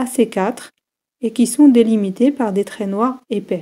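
A woman with a fairly high pitch and ordinary pitch variation speaks at a fairly slow pace in a somewhat breathy, dark, mellow tone. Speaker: university geology lecturer. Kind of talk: tutorial. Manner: clear, measured explanation.

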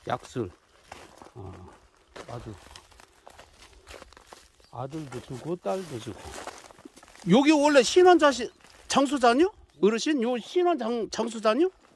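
Very slow speech with long, frequent pauses, a dry sound with no echo and light background noise. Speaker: vlogger filming an elder. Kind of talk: casual vlog talk to camera. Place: forest. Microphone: phone near.

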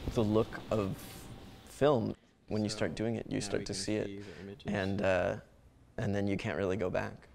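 Pausing long and often, a man speaks at a fairly low pitch with vocal fry and fairly even intonation while noticeable background noise runs underneath. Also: moderate pace. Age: 20s. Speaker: darkroom co-founder and photographer. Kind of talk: interview. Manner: halting, many fillers. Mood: relaxed, amused.

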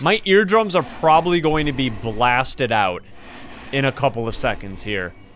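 Very wide pitch swings over light background noise, the sound dry with no echo. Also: man. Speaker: gaming streamer. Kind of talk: gameplay commentary. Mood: joking, playful.

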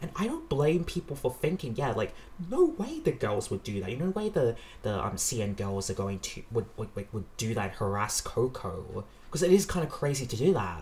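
Somewhat breathy, a man of medium pitch speaks at a moderate pace with very wide pitch swings. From Australia. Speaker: reaction youtuber. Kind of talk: casual reaction commentary. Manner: hesitant, many fillers. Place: home room.

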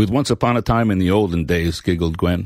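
Moderately paced speech from a man, very cleanly recorded against a silent background. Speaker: audiobook narrator. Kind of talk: scripted storytelling narration, reading a novel excerpt aloud with character voices. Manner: warm, gentle, expressive.

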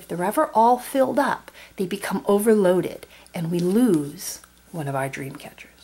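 In a warm tone, a woman talks at a moderate pace with very wide pitch swings. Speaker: board game video creator. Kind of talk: tutorial. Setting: at home, tabletop. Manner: warm, friendly. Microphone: camera far.

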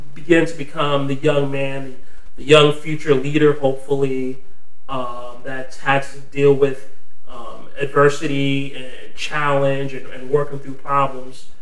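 A man speaks at a fairly slow pace with flat, monotone intonation. There is audible echo from the room. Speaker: podcast guest. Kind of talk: interview answer. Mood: proud, warm. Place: studio.

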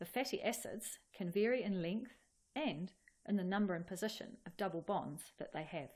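A woman talks at a moderate pace. Her voice is somewhat breathy. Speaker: presenter. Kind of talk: educational explainer. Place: studio.

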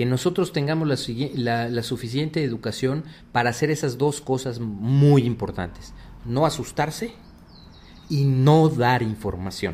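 A man with a fairly high pitch, somewhat breathy, with ordinary pitch variation and a fairly slow pace. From Mexico City. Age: 50s. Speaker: cybersecurity executive. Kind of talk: radio interview. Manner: halting, many fillers.

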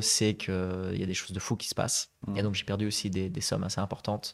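Against a quiet background, a man speaks with a fairly low pitch. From Flanders, Belgium (Zaventem); Flanders, Belgium. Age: 30s. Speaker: real estate investor and conference interpreter; podcast guest. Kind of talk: interview. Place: studio. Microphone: studio mic.

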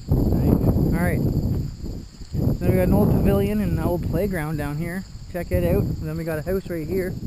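A moderate pace over loud background noise, the sound dry with no echo. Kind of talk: casual exploring commentary. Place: open country. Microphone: phone near.

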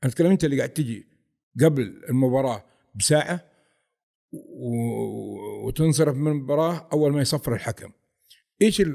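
Dark, mellow tone at a moderate pace, with long, frequent pauses, ordinary pitch variation and a quiet background. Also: man, fairly high pitch for a man. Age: 50s. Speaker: football fan, airport quality manager; guest. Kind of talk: casual interview. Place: studio. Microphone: studio mic.

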